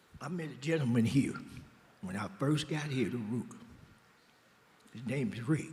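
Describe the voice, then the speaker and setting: Somewhat breathy speech in an American accent, with lively intonation, a moderate pace, long, frequent pauses, and audible room echo. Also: man, fairly high pitch for a man. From Oakland, California. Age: 60s. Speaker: former prisoner in a reentry program. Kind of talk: interview on stage. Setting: benefit dinner, stage with audience.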